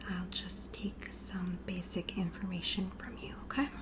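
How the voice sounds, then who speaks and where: Soft-spoken, gentle-toned speech at a fairly slow pace, with noticeable background noise. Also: woman. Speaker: ASMR creator doing a roleplay scalp examination. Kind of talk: ASMR roleplay, personal attention.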